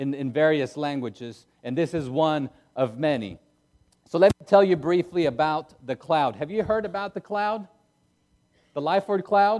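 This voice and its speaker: A man talks at a moderate pace, his pitch fairly high and his intonation lively. His loudness swings widely. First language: not English. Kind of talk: sermon. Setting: church.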